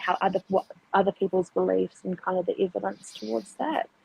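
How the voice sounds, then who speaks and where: Dry and close with no echo, a woman with a New Zealand accent talks at a moderate pace. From New Zealand, Auckland. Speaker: atheist guest. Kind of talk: casual conversational interview.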